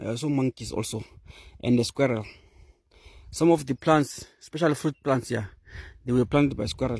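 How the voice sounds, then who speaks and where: With a Zimbabwean accent, a man talks at a moderate pace and medium pitch, using ordinary pitch variation and long, frequent pauses, in a dry, close sound with no echo. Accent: Zimbabwean (Ndebele) English. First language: Ndebele. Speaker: nature vlogger. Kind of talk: walking vlog tour. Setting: outdoors. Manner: halting.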